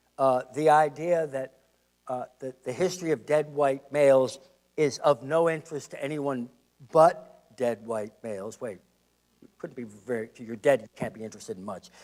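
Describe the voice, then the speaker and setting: In an ordinary speaking voice, a man talks at a moderate pace with ordinary pitch variation and big swings in loudness. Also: fairly high pitch for a man. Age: 60s. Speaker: historian and public lecturer. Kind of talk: lecture.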